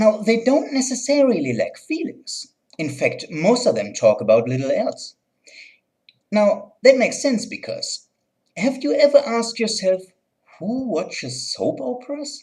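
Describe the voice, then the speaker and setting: The speaker has a German accent and keeps a fairly slow pace. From Germany. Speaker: video blogger. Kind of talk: satirical commentary.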